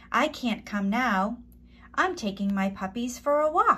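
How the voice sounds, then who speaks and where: Using a put-on character voice, a woman speaks high-pitched at a fairly slow pace. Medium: read story.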